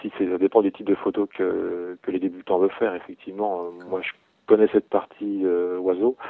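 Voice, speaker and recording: The intonation stays monotone and flat. Loudness rises and falls in big swings. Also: man. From Burgundy, Bresse area, France. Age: 30s. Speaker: amateur wildlife photographer. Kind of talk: interview. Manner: hesitant, repeats words.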